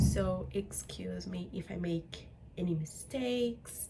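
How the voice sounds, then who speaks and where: A woman with a non-native accent over noticeable background noise. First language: not English. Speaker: English teacher and student vlogger. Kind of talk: casual vlog talk. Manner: hesitant, with fillers and self-corrections.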